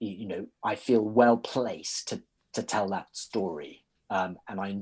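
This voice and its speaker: A man's fairly low voice in a British accent, fairly slow in pace with ordinary pitch variation, on a very clean recording with a silent background. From Britain. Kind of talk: interview. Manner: hesitant, with frequent repetitions.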